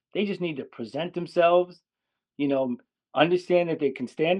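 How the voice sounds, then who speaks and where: Speaking at a moderate pace, a man with an American accent has a high pitch and ordinary pitch variation. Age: 60s. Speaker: dog trainer. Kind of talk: interview.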